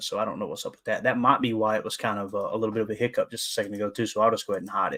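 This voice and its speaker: A man rattles along at a very fast pace in a Kentucky Appalachian accent. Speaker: sports podcast host. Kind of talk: live stream sports talk. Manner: casual, halting with fillers.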